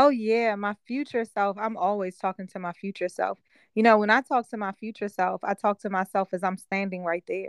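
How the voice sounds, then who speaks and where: Medium-pitched female voice at a fairly quick pace, dry and close with no echo, over a quiet background. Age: 40s. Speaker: life coach and business owner. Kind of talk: interview. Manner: animated.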